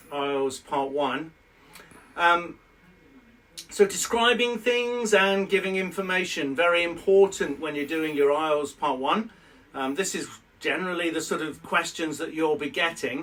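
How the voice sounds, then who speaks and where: A man with a British accent speaks at a moderate pace, his fairly high pitch showing ordinary variation. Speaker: IELTS teacher. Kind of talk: educational lesson to camera. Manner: conversational, explanatory.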